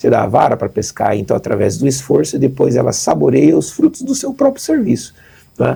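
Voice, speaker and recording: A man with a São Paulo accent, talking at a fairly quick pace. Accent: São Paulo accent, kept. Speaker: charity representative. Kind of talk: interview.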